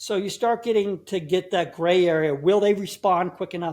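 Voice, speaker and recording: Over a silent background in a very clean recording, a man talks fairly quickly in a high pitch. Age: 60s. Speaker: herbal tea business owner. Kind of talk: podcast interview. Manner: halting, repeats words.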